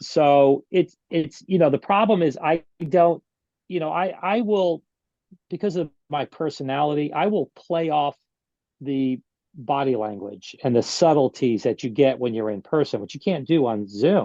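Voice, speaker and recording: Pitched fairly high, a man with a dark, mellow tone talks with lively intonation. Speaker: surgeon and medical expert witness. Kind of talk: interview. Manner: fast.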